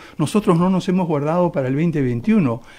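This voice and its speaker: This man's dark, mellow tone comes with lively intonation. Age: 70s. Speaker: political candidate. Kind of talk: radio interview.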